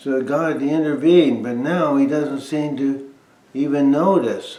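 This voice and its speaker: A man's fairly slow speech with ordinary pitch variation, amid audible room echo. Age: 80s+. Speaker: bible teacher. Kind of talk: informal bible talk. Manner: conversational, with hesitations.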